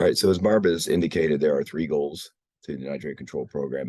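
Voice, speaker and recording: A man speaks in a dark, mellow tone. His voice carries vocal fry. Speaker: water program presenter. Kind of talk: presentation. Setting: hybrid meeting, video call.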